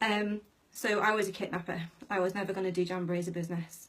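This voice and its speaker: With a British accent, the voice keeps a fairly even intonation. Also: woman. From UK. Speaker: direct sales team manager. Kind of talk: live video training. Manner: casual, many fillers.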